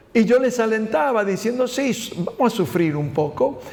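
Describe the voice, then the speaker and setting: At a fairly slow pace and with lively intonation, a man speaks with a Spanish accent over noticeable background noise. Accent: Spanish accent, unchanged. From Spain. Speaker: pastor. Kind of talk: Bible study teaching. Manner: halting.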